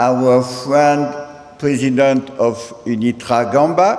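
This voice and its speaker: Very slowly and with fairly even intonation, a man speaks amid audible room echo and noticeable background noise. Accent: strong French. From France. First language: French. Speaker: president of international senior-university association. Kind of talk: ceremonial speech. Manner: halting, mixing English and French.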